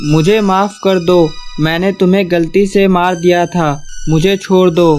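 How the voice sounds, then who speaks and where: In a cartoonish character voice at a middle pitch, the speaker talks at a moderate pace with monotone, flat intonation over clear background noise. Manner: scared, pleading.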